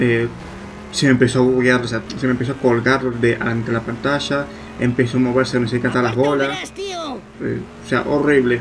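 Amid noticeable background noise, a man with a Rioplatense accent speaks at a medium pitch and moderate pace in a monotone, flat intonation. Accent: Argentine Spanish (rioplatense). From Argentina. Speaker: gaming youtuber. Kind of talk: let's play commentary. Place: home room. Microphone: problems with USB microphone.

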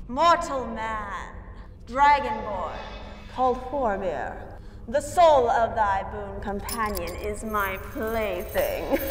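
Over clear echo and clear background noise, a female-sounding voice puts on a menacing character voice, hissing at a very slow pace and a fairly high pitch for a woman. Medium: stage play. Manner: menacing, seductive.

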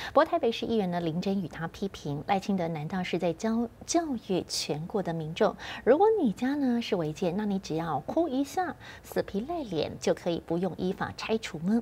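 A woman with a dark, mellow tone speaks in a somewhat breathy voice with very wide pitch swings. Light background noise sits behind her. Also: moderate pace. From Taiwan. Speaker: news anchor. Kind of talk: news reading. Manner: formal. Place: studio.

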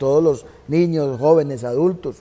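Fairly even intonation from a man at a fairly slow pace. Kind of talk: interview answer. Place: stage. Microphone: lapel.

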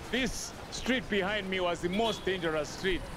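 A man speaks at a moderate pace with a dry sound and no echo. Noticeable background noise runs behind him. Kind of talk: documentary interview, walking tour. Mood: animated, nostalgic. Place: street. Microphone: lapel.

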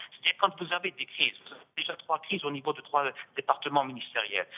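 Very rapid speech from a man pitched rather high, his pitch varying in a normal way. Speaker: retired international civil servant. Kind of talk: televised political debate. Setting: remote link from Algiers. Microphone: audio return/echo on his line.

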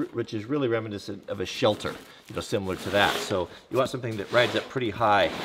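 Over noticeable background noise, a man speaks very fast with ordinary pitch variation. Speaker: gear reviewer. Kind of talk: tutorial. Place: workshop.

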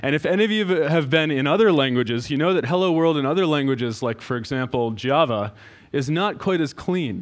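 A man's fairly quick speech against a quiet background. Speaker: conference presenter. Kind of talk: lecture. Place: hall. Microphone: headset.

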